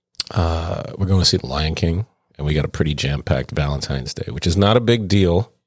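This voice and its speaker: A man with an American accent and a very deep, low pitch speaks fairly quickly with ordinary pitch variation, the sound dry and close with no echo. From New York City (Brooklyn, Jersey City). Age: 40s. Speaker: podcast co-host, bartender. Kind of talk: casual chat.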